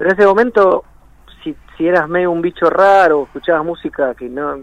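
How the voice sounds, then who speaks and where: At a fairly quick pace, a man with a high pitch and ordinary pitch variation speaks in a dry, close sound with no echo. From Buenos Aires, Argentina. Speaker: rock musician. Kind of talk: radio interview.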